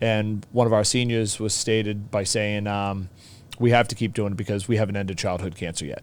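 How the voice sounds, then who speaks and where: A man speaks with a Boston accent. His pitch is fairly low and his intonation fairly even. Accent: thick Boston. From Boston, US. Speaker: teacher. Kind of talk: casual chat.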